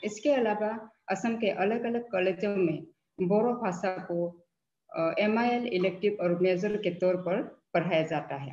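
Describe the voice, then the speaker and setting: In a room with audible echo, a woman with a non-native accent speaks at a medium pitch, her tone dark and mellow and her pitch varying in an ordinary way. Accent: non-native Hindi. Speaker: professor. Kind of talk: lecture. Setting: webinar video call. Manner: halting, frequent fillers.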